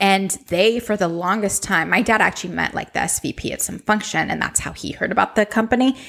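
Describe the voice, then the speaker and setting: At a fairly quick pace, a woman speaks in an animated tone, her medium pitch moving with ordinary variation. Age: 20s. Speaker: podcast host, beauty blogger. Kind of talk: casual chat.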